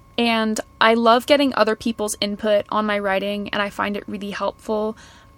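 A woman with a normal speaking voice, fairly high in pitch, at a moderate pace. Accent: Canadian. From Canada, Kelowna near Vancouver. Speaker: fashion marketer and podcaster. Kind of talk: casual interview. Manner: laughs often.

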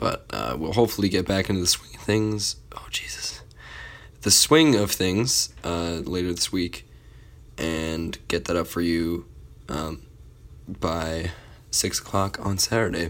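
With a very deep, low pitch and vocal fry, a man speaks at a fairly slow pace with ordinary pitch variation and long, frequent pauses. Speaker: student podcast host. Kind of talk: casual solo update. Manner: halting, many fillers.

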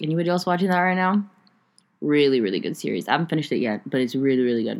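A woman with a very deep, low pitch speaks with lively intonation in a very clean recording with a silent background. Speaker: solo podcast host. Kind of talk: casual chat. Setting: recording from bed. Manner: filler-heavy, unrehearsed.

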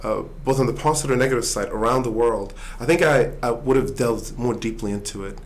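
Audible room echo surrounds a man who speaks at a very fast pace. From Sweden. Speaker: author and business executive. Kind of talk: interview. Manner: halting, many repetitions and fillers.

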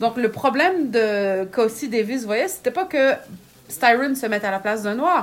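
A woman speaks at a fairly slow pace with a Quebec accent. Her intonation is lively. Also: fairly high pitch for a woman. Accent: Québécois French. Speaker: writer and magazine editor. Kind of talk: casual interview. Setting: at home, in a small smoking room.

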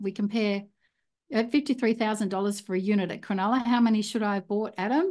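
A woman with an Australian accent at a fairly quick pace, against a quiet background. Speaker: property investor. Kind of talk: interview conversation. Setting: video call.

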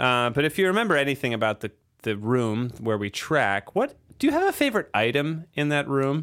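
This is an unremarkable speaking voice, a man's, fairly high in pitch with lively intonation and a fairly quick pace. The recording is very clean, with a silent background. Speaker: recording engineer and podcast host. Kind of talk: casual interview chat. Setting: studio.

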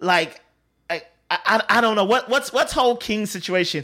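A raised, projected voice with a bright, sharp tone comes through a very clean recording over a silent background. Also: man. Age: 30s. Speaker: video game podcast host. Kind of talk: casual chat.

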